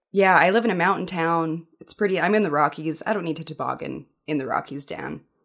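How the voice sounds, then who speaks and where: A woman with a Canadian accent uses a fairly low pitch and vocal fry. She talks at a fairly quick pace with ordinary pitch variation. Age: 30s. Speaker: sports reporter. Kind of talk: casual chat.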